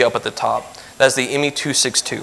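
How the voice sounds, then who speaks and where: A man at medium pitch and a very fast pace, with noticeable background noise. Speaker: lay speaker giving a church lesson. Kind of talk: sermon-style lesson. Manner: fast when nervous.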